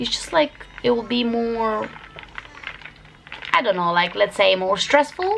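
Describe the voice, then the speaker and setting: The speech moves at a moderate pace while noticeable background noise sits beneath it. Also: woman. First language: Albanian. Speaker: vlogger. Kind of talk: casual vlog talk to camera. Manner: hesitant, many fillers.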